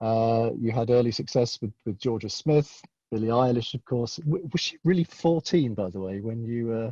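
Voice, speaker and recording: A man speaks at a medium pitch with a British accent, in a dark, mellow and somewhat breathy tone. The sound is dry and close, without echo. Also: ordinary pitch variation, moderate pace. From UK. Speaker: conference moderator. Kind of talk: panel interview. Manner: halting.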